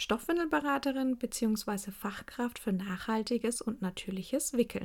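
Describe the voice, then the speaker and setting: In a very clean recording with a silent background, a woman with an ordinary speaking voice talks at a fairly high pitch and a fairly slow pace, her intonation lively. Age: 30s. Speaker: podcast host and cloth diaper consultant. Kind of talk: casual monologue.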